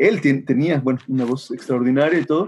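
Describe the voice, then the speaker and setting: A man with a Mexican accent and a dark, mellow tone. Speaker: musician and music teacher. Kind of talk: casual interview.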